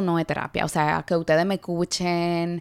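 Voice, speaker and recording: A woman speaks at a moderate pace in a dark, mellow tone. The recording is very clean and dry, close with no echo and a silent background. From Dominican Republic. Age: 20s. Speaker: podcast host and TikTok creator. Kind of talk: solo podcast monologue.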